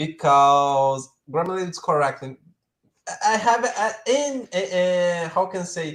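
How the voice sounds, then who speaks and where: Fairly slow and lively in intonation, a man with a high pitch and a Portuguese accent speaks with big swings in loudness. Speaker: live stream co-host. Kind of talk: live stream chat. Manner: halting.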